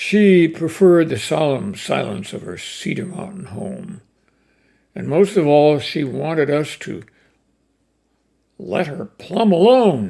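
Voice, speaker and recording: Using a fairly high pitch and a dark, mellow tone, a man speaks at a very slow pace with lively intonation, big swings in loudness, and long, frequent pauses. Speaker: cowboy poetry reciter. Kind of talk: poetry reading.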